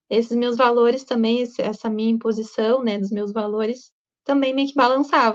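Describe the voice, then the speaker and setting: This woman's voice is high, and her speech moves at a moderate speed. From southern Brazil, Rio Grande do Sul. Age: 20s. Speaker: student sharing personal story. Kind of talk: personal testimony.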